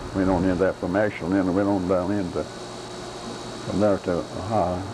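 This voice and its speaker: In an Appalachian accent, a man with a very deep, low pitch speaks at a moderate pace in monotone, flat intonation and very even loudness, amid audible room echo and noticeable background noise. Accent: Appalachian Kentucky. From eastern Kentucky (Carter/Boyd County). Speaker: grandfather interviewed by family. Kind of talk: casual family interview. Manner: halting.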